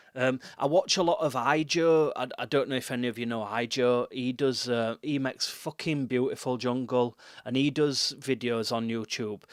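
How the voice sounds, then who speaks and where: A moderate pace in a Yorkshire accent, with fairly even intonation. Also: man, medium pitch for a man. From West Yorkshire. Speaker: music producer and livestreamer. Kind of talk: live stream tutorial chat. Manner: casual, filler-heavy.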